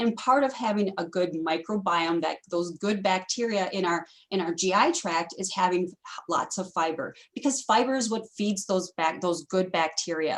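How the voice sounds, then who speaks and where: A woman speaks at medium pitch with ordinary pitch variation. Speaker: dietitian presenter. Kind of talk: webinar presentation. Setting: video call. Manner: fast.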